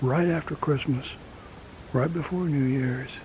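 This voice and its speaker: Whispering in an American accent, a man speaks at a fairly slow pace in a relaxed tone, with noticeable background noise. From rural US. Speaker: outdoors vlogger. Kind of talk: casual outdoor vlog talk. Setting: outdoors in woods. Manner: relaxed, halting with fillers.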